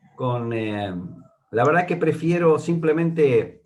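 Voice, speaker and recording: This man speaks at a very slow pace in a fairly high, somewhat breathy voice with very wide pitch swings. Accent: porteño. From Argentina, Buenos Aires. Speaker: Bible teacher. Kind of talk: Bible study. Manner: hesitant, many fillers.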